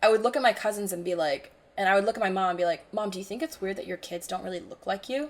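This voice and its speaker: A woman with an American accent, talking very fast, with big jumps in loudness. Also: medium pitch for a woman, ordinary pitch variation. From Hong Kong (mixed Taiwanese family, British international school). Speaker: podcast co-host. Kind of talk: casual chat.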